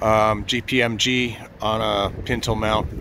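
A man's voice is heard with a dry sound with no echo and light background noise. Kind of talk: casual walkaround commentary. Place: open country. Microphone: phone near.

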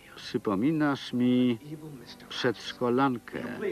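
A man at medium pitch, very slow in pace, with noticeable background noise. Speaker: Polish film voice-over reader (lektor). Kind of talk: single-voice film translation read over the original soundtrack.

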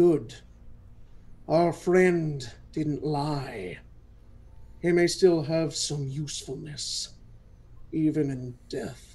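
A put-on character voice speaks at a very slow pace, with long, frequent pauses. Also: man, fairly high pitch for a man. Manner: cold, smug.

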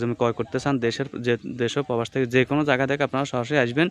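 A man's medium-pitched voice, fairly even in intonation, dry and close with no echo against a quiet background. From Bangladesh, Noakhali. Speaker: land sale broker and video blogger. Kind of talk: property walkthrough vlog. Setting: outdoors on site.

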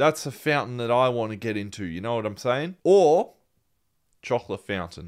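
A man is speaking. He has an Australian accent. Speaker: movie reaction YouTuber. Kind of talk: casual chat. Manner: subdued, less energetic than usual.

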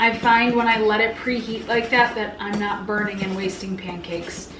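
A woman at a moderate pace with fairly even intonation, audible room echo and light background noise. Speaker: home cook vlogger. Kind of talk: casual cooking tutorial chat. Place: kitchen.

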